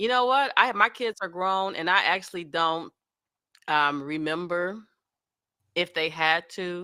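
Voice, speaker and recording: A woman's fairly low, bright, sharp voice at a fairly slow pace, with ordinary pitch variation and long, frequent pauses. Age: 50s. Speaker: podcast host, author interviewer. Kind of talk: interview conversation.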